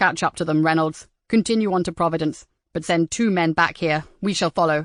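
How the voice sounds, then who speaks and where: A put-on character voice growls at a fairly quick pace with fairly even intonation. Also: woman, fairly low pitch for a woman. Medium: read story. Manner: brusque, commanding.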